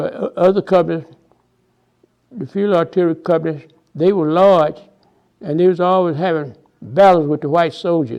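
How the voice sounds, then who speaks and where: Speaking with a Texas accent at a moderate pace, a man with a high-pitched voice keeps a fairly even intonation and takes long, frequent pauses. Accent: Southern US, Texas. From Houston, Texas. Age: 90s. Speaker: WWII veteran. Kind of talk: oral history interview answer. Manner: hesitant, repeats words.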